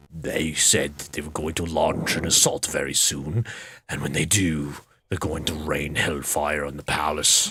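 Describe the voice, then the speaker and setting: A man puts on a character voice, very deep and low in pitch, and talks at a moderate pace. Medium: virtual streamer. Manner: jittery, boastful.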